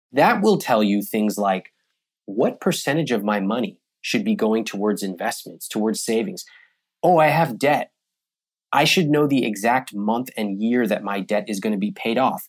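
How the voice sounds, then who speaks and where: An unremarkable speaking voice from a man with an American accent, lively intonation and moderate pace, on a very clean recording with a silent background. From US, Sacramento, California. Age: young. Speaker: personal finance author. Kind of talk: interview conversation.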